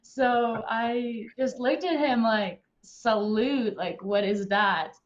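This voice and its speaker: A woman with a Serbian accent, fairly high pitched, speaking at a very slow pace with ordinary pitch variation. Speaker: alumna, former volleyball player. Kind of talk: panel Q&A answer. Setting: live online stream.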